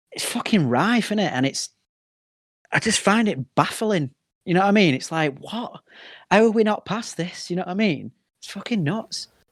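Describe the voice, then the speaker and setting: A man in a northern English accent speaks at a moderate pace, high in pitch, with lively intonation. His pauses are long and frequent, and the recording is very clean with a silent background. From northern England, working-class town. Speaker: band frontman and comedian. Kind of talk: casual chat.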